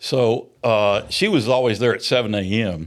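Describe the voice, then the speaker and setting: A man with a Middle Tennessee accent speaks at a fairly low pitch with fairly even intonation in a very clean recording with a silent background. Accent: Southern US (Middle Tennessee). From US South, rural Maury County, Tennessee. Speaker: retired navy submarine commander. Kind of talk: interview. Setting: studio. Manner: halting, frequent fillers.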